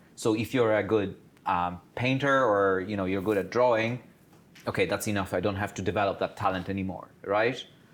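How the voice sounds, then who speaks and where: On a very clean recording with a silent background, a man with a non-native accent speaks fairly quickly, fairly low in pitch, with fairly even intonation. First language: not English. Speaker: career talk speaker, PhD holder. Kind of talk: panel talk to students.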